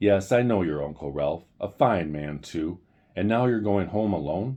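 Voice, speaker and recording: A gruff, put-on character voice from a man with a very deep, low pitch and lively intonation, at a moderate pace. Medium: read story. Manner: hearty, fatherly.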